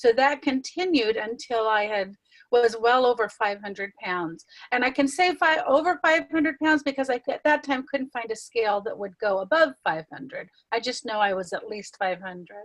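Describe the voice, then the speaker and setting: A high-pitched woman's voice at a moderate pace, lively in intonation, dry and close with no echo. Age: 60s. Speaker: weight loss client sharing success story. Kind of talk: interview. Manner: halting.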